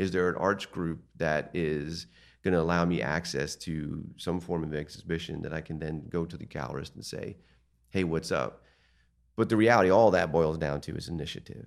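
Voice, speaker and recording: A man with an American accent speaks in a very deep, low pitch with vocal fry and ordinary pitch variation, over a quiet background. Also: moderate pace. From eastern Pennsylvania, Lehigh Valley. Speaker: art gallery owner. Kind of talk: casual interview.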